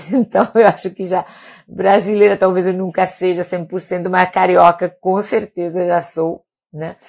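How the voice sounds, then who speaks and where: Monotone, flat intonation at a fairly slow pace. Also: woman, medium pitch for a woman. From Spain, Palma de Mallorca (Balearic Islands). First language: Catalan and Spanish (speaking Portuguese). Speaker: doctor. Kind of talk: casual live stream talk. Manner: hesitant, many repetitions.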